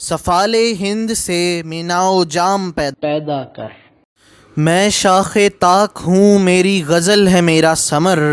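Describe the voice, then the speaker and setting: His intonation fairly even, a man speaks at a high pitch. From Pakistan. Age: young. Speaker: poetry reciter. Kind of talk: poetry reading.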